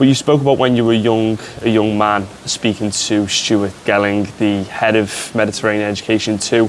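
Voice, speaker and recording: With a Liverpool accent, a man speaks at a moderate pace in a fairly low, monotone voice with flat intonation, very even loudness and hardly any pauses, over noticeable background noise. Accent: Scouse. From Liverpool, England. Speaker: sports media student interviewer. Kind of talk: interview.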